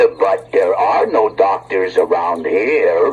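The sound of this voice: A man's cartoonish character voice at a very slow pace, over light background noise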